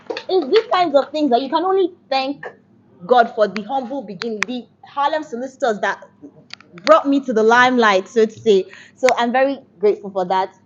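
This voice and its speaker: Loud and lively in intonation, a woman talks at a fairly quick pace with a high pitch. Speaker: law student intern. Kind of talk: farewell speech. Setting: farewell dinner.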